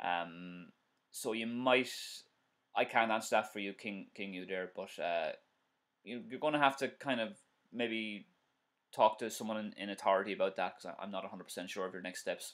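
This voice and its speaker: The speaker has an Irish accent and talks at a moderate pace with ordinary pitch variation, pausing long and often. Loudness swings widely, and the background is quiet. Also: man, fairly low pitch for a man. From Ireland. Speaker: driving instructor. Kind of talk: live-stream tutorial and viewer Q&A. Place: home room. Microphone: webcam.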